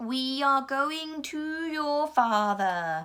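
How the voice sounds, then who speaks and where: A woman puts on a character voice, pitched high and moving through very wide pitch swings. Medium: read story. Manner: commanding, terse.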